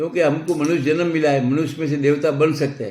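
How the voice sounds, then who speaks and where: A man speaks in a fairly high voice with a dark, mellow tone. His intonation is fairly even and his pace moderate. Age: 80s+. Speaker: philanthropist. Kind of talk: interview. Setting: office.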